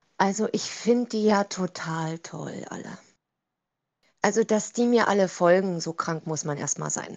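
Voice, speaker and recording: A woman's medium-pitched voice at a fairly slow pace, with ordinary pitch variation and big swings in loudness. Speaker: TikTok creator. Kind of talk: interview. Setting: video call.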